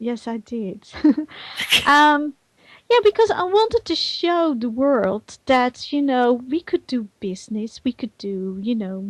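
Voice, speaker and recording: Speaking very slowly with a Dutch accent, a woman uses a high pitch and very wide pitch swings, recorded dry and close with no echo. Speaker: virtual world community manager and conference organizer. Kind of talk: talk show interview. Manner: animated; halting.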